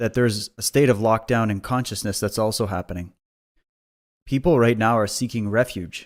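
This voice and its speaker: Very clean and set against a silent background, this recording has a man with an unremarkable speaking voice, fairly low pitch and fairly even intonation, at a moderate pace. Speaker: interviewer. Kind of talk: interview question.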